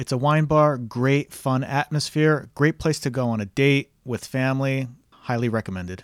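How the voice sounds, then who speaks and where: A man with an American accent and a plain, everyday voice speaks at medium pitch and a moderate pace, with ordinary pitch variation and a dry, close sound with no echo. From New Jersey. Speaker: podcast host and real estate agent. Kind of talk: casual solo podcast recommendations.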